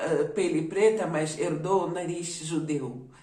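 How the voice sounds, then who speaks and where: With a non-native accent, a woman speaks very slowly at a fairly low pitch, with ordinary pitch variation. Audible room echo surrounds her voice. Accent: foreign accent in Portuguese. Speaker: YouTuber. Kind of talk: personal testimony.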